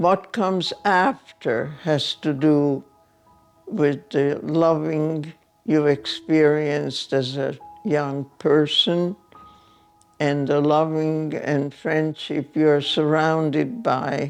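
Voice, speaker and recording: With a Hungarian accent, the speaker goes at a very slow pace with ordinary pitch variation and very even loudness as music plays in the background. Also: woman, very deep, low pitch for a woman. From Hungary. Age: 90s. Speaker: Holocaust survivor. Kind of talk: testimony.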